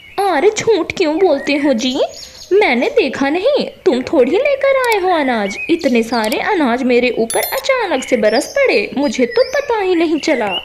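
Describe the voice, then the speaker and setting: Using a cartoonish character voice, a woman speaks at an extremely high pitch with very wide pitch swings and a fairly slow pace, over clear background noise. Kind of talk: comic cartoon acting. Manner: sharp, scolding.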